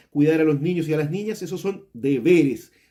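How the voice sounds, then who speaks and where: A man's fairly high voice has a dark, mellow tone. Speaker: school teacher. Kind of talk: lecture. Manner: fast; halting.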